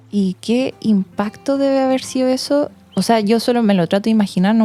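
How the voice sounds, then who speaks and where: A woman with an unremarkable speaking voice and a fairly high pitch speaks at a moderate pace, her pitch varying in an ordinary way. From Chile. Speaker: podcast host. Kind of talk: interview.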